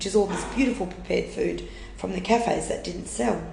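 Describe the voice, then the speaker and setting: Speaking very fast with an Australian accent, a woman is heard through audible room echo and noticeable background noise. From Western Australia, rural Wheatbelt. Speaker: food rescue charity manager. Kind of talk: interview conversation.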